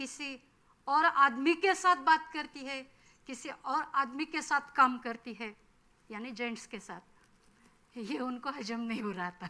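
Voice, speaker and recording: A woman with a Marathi accent speaks in a high, bright and sharp voice, raised and projected, with lively intonation. Her loudness swings widely, and she leaves long, frequent pauses. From Maharashtra, Marathwada (Beed district). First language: Marathi (speaking Hindi). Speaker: forest field officer. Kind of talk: workshop talk.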